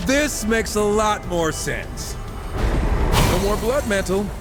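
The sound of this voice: Putting on a character voice, a high-pitched man speaks slowly with big pitch swings while clear music plays in the background.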